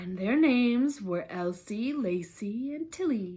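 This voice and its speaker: A woman uses a put-on character voice that is hoarse and fairly high. She speaks at a fairly slow pace with very wide pitch swings. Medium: read story.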